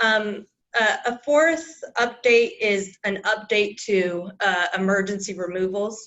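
This woman has a plain, everyday voice. Her pitch sits in the medium range with ordinary variation. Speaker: legal presenter on Title IX. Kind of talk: presentation to board meeting.

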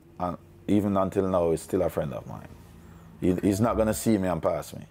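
A man talks with a very deep, low pitch and a dark, mellow tone. His pace is moderate. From Jamaica, Kingston and Portmore; Jamaica. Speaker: former music manager; interviewee. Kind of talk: interview. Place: home room.

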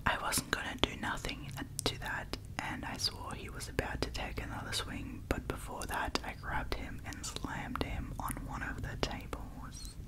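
A woman whispers at a moderate pace. Loud background noise plays behind her. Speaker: ASMR storyteller. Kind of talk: reading stories aloud softly. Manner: close-mic ASMR whisper. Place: home room. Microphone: studio mic.

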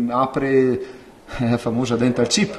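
Amid light background noise, a man speaks at a moderate pace with very wide pitch swings. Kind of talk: interview answer. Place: office. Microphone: handheld.

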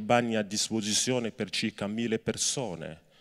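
A man's medium-pitched voice with fairly even intonation over a quiet background. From Cameroon. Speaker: labor rights activist; speaker. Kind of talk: speech to students and inmates. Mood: earnest, serious. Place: stage. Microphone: handheld.

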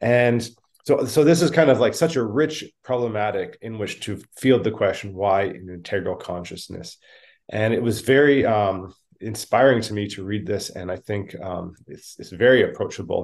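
Over a quiet background, a man with a Canadian accent speaks at a moderate pace, his pitch varying in an ordinary way and his loudness swinging widely. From Canada. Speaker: podcast co-host. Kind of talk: interview. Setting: video call. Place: home room. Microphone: video call.

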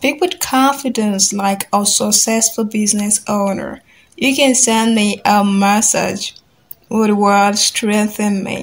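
Very slowly and somewhat breathily, a woman with a Nigerian accent talks at a fairly high pitch with ordinary pitch variation. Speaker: business English coach. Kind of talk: tutorial. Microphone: phone near.

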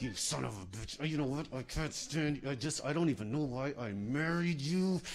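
A man performs a put-on character voice at a fairly high pitch and a moderate pace. Hissing and clear background noise are audible. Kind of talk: stand-up comedy routine. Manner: hissing, seething.

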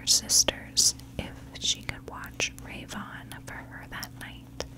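A soft-spoken woman whispering at a very slow pace amid noticeable background noise. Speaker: true crime narrator. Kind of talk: storytelling narration. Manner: soft close-mic whisper. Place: home room. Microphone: studio mic.

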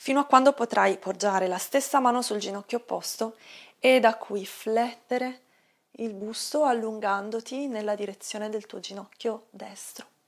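A woman speaks at a moderate pace. Her intonation is fairly even, and the background is quiet. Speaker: yoga instructor. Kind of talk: guided exercise instruction. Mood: calm, soothing. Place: home room.

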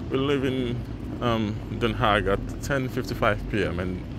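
Recorded dry with no echo and with noticeable background noise, a man talks at a fairly slow pace. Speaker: travel vlogger. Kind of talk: casual vlog chat. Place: station. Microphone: phone near.

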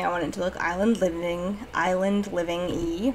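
The tone is bright and sharp, the pace moderate and the pitch variation ordinary. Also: woman. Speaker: game build creator. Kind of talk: casual gameplay commentary voice-over. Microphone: studio mic.

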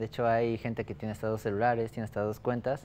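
There is light background noise. A man talks at a fairly quick pace. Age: 20s. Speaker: startup founder. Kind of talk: business pitch and interview. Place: studio. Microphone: lapel.

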